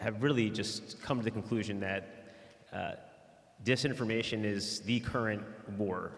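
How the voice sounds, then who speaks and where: A man speaks at a fairly low pitch. Audible room echo surrounds his voice. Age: 30s. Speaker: media and marketing professional, panelist. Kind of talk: panel introduction. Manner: halting, many fillers.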